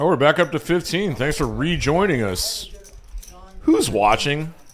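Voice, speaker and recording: Over noticeable background noise, a man talks at a fairly slow pace and a fairly high pitch with lively intonation. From Flemish-speaking Belgium. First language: Flemish. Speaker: poker livestream commentator. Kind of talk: live commentary. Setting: small closet booth. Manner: animated.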